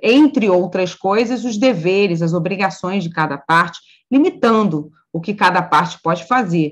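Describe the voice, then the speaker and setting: A woman with an unremarkable speaking voice talks at a medium pitch and a moderate pace, using lively intonation. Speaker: law professor.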